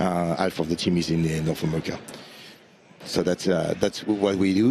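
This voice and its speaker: With a strong French accent, a man with a very deep, low pitch speaks at a moderate pace and with fairly even intonation. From France. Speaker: AI consulting practice lead. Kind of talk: interview at trade conference. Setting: conference showroom floor live stream. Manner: halting, many fillers.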